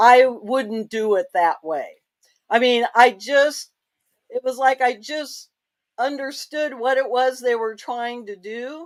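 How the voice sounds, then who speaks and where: Speaking at a very slow pace, a woman with a high pitch and ordinary pitch variation shows big swings in loudness on a very clean recording with a silent background. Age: 70s. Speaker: retired diesel technician. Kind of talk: interview. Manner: halting.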